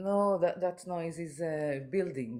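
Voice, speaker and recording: A man with an Israeli accent speaks at a fairly high pitch with ordinary pitch variation. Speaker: guest brought on remotely. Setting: remote call from home.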